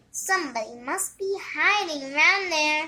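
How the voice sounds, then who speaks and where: Putting on a squeaky character voice, a woman speaks at an extremely high pitch with lively intonation and a moderate pace. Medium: read story.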